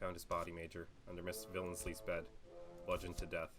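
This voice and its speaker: A man puts on a character voice and talks at a very fast pace. Background noise is clearly heard. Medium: game stream. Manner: formal, clipped.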